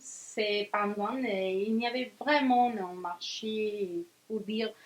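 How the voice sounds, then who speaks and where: Speaking at a very slow pace, a woman keeps her fairly high voice on a fairly even intonation. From Venezuela. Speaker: magazine founder, journalist. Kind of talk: interview. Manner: halting, many hesitations.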